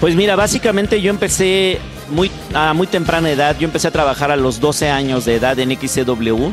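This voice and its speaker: A man's fairly high voice, fairly quick, with ordinary pitch variation, dry with no echo, clear music in the background. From Mexico. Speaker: voice actor and dubbing director. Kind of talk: interview answer. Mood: calm, reflective. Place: home room. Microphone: handheld.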